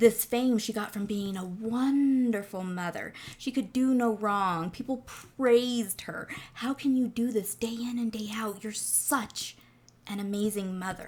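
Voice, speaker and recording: At a fairly slow pace, a woman speaks with fairly high pitch, a somewhat breathy quality and fairly even intonation in a very clean recording with a silent background. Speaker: true crime podcaster. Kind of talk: casual true crime monologue.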